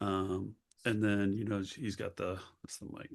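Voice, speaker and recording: A man talks at a moderate pace with fairly even intonation. His pitch is fairly low. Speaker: podcast co-host. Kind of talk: casual chat. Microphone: new mic setup with stand.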